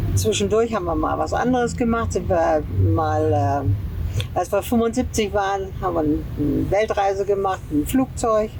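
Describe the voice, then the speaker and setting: Against noticeable background noise, a woman talks at a moderate pace with very even loudness. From northern Germany, near Oldenburg. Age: 80s+. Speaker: retired long-term camper traveller. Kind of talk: interview. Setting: outdoors at a campsite in Mexico.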